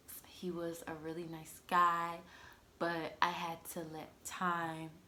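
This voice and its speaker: A woman with a bright, sharp tone and fairly low pitch speaks at a very slow pace amid audible room echo. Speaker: lifestyle vlogger. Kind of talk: casual chat.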